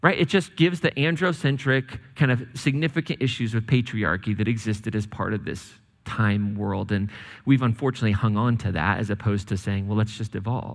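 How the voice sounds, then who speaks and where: A man talks at a fairly quick pace in a plain, everyday voice of medium pitch with lively intonation. The recording is very clean, with a silent background. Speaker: pastor. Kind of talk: sermon to a congregation. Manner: conversational, humorous.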